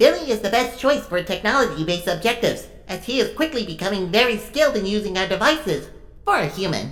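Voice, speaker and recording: A female-sounding put-on character voice rattles along at a very fast pace. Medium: audio drama. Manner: blunt, literal.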